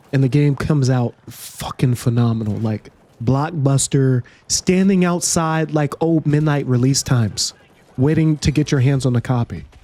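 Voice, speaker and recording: With noticeable background noise but a dry, close sound with no echo, a man talks at a fairly high pitch with ordinary pitch variation and very even loudness. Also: moderate pace. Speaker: gaming YouTuber. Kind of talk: casual commentary. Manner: halting, repeats words; animated.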